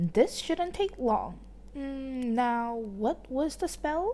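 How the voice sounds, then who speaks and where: A woman's put-on character voice, high in pitch, at a very slow pace over clear background noise. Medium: read story. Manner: airy, jolly, upper-class.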